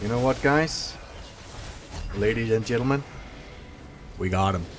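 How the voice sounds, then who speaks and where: Against noticeable background noise, a man with a medium-pitched voice talks at a moderate pace with ordinary pitch variation. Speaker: gaming YouTuber. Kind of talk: live gameplay commentary.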